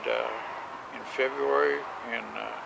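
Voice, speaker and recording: Speaking at a fairly slow pace, a man is heard over noticeable background noise. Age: 80s+. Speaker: war veteran. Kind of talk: interview answer.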